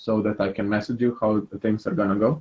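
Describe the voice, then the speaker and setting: Fairly even in intonation, a man's voice holds a medium pitch. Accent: non-native. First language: not English. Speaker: game master. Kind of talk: casual chat. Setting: voice chat. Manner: halting.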